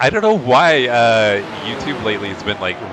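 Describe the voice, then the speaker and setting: With noticeable background noise behind him, a man at a medium pitch makes very wide pitch swings. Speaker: sim racing streamer. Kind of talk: live stream commentary. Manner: casual, conversational.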